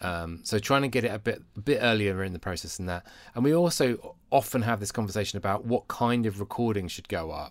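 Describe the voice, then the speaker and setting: On a very clean recording with a silent background, a man with a British accent talks at a fairly low pitch and a fairly quick pace. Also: ordinary pitch variation. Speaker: podcast co-host and worship resource creator.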